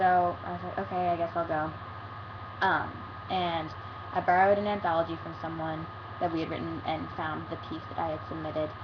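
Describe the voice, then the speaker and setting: A woman with a very deep, low pitch and lively intonation at a fairly quick pace, with long, frequent pauses and noticeable background noise. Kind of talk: casual talk to camera. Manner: stutters and pauses a lot.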